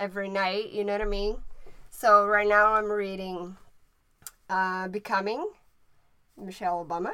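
A woman with a Brazilian Portuguese accent, medium in pitch, at a fairly slow pace, bright and sharp in tone, in a monotone, flat intonation. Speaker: podcast co-host. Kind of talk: casual chat.

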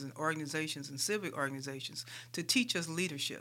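A woman with an American accent has an unremarkable speaking voice. She talks at a fairly quick pace with ordinary pitch variation. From US Midwest, St. Louis, Missouri. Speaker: transit agency executive. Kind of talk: interview.

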